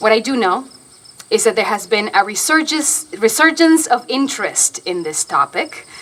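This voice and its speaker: A woman with a Spanish accent talks at a moderate pace with lively intonation. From Argentina. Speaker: stage actor. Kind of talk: public lecture.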